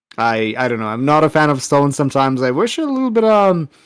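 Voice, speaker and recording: Over a very clean recording with a silent background, a man talks at a fairly quick pace with lively intonation. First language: not English. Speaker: strategy game player. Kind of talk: casual gameplay chat.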